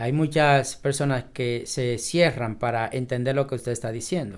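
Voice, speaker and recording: The recording is very clean with a silent background, and the intonation stays fairly even. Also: man. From Dominican Republic, southwest, raised in a sugar batey. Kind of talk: interview. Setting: office.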